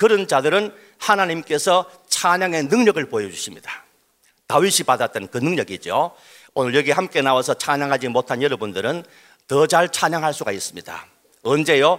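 Vocal fry and very wide pitch swings in a man's fairly high voice. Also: moderate pace. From Daegu, South Korea. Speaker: pastor. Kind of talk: speech. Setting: stage with audience.

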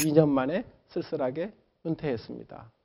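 Here a man has an unremarkable speaking voice. He talks at a moderate pace and a fairly high pitch. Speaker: professor. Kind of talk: lecture.

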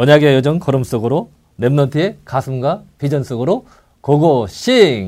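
Talking at a fairly slow pace, a man with a fairly high pitch uses lively intonation in a plain, everyday voice. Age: 60s. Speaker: retired air force NCO, church elder. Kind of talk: casual chat.

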